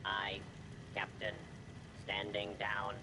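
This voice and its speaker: A man puts on a character voice at a fairly low pitch, with loud background noise behind him. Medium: video game. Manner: flat, clipped, mechanical.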